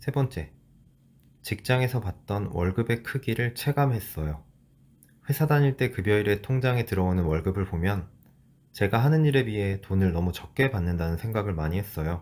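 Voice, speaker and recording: A man with an unremarkable speaking voice and a fairly low pitch talks at a moderate pace with lively intonation in a very clean recording with a silent background. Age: 30s. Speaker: former corporate employee. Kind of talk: personal vlog narration.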